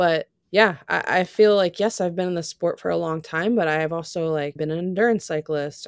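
A woman with an American accent uses an ordinary speaking voice at a fairly low pitch, with ordinary pitch variation and a moderate pace, the sound dry and close with no echo. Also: hardly any pauses. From US, Florida. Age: 30s. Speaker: track cycling sprinter. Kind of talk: interview. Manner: casual, uses filler 'like'.

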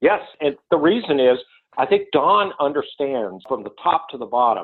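A fairly high-pitched man with an American accent, at a fairly quick pace. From US South, North Carolina. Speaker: technology executive. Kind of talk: interview.

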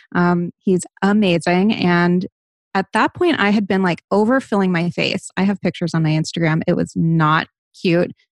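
A woman with an American accent uses a normal speaking voice at a fairly low pitch and moderate pace, keeping very even loudness and fairly even intonation in a dry, close sound with no echo. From US Northeast, Rhode Island (Barrington). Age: 30s. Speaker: lifestyle and wellness influencer. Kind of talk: interview, candid personal talk.

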